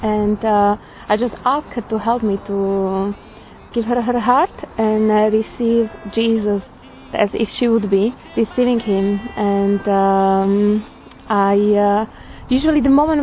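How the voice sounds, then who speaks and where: A woman speaks with a Slovak accent at a fairly high pitch. There is noticeable background noise. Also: very even loudness. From Slovakia. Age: 30s. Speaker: churchgoer giving a personal faith reflection. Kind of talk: testimony. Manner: halting.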